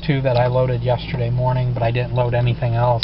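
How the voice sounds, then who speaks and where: There is noticeable background noise. The sound is dry, with no echo. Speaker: home vlogger. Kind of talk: casual vlog chat. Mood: calm, a bit worried. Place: car.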